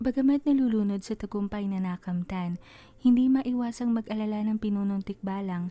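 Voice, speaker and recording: Somewhat breathy and dark, mellow in tone, a woman speaks at medium pitch. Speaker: author and narrator of her own stories. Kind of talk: horror fantasy story narration.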